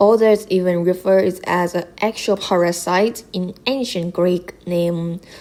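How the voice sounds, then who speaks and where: With a non-native accent, a woman speaks at a very slow pace, her medium pitch following fairly even intonation. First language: not English. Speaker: gaming content creator. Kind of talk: explainer video narration.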